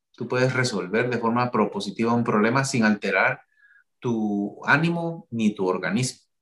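A plain, everyday voice from a man, medium in pitch with ordinary pitch variation, at a moderate pace. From Guatemala. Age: 40s. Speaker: cardiologist. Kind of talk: interview. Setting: video call.

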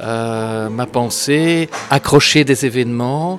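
A man speaks with fairly even intonation. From Belgium, Brussels. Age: 60s. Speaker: author and historian, former school principal. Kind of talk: interview. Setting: café. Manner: hesitant, many filler sounds and repeated words.

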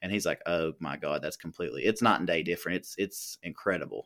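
In an American accent, a man speaks at a very fast pace, captured with a dry, close sound, no echo and a silent background on a very clean recording. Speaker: podcast host. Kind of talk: casual chat.

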